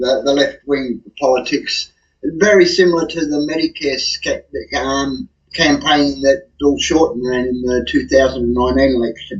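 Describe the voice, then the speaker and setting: The speaker has an Australian accent. He is a man who talks fairly slowly. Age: 60s. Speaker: guest commentator. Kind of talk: casual chat.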